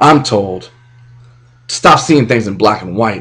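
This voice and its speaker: Against a quiet background, a man speaks. His pace is fairly quick. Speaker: spoken word poet. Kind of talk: spoken word poetry performance. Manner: impassioned. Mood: angry, impassioned. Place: home room. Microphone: webcam.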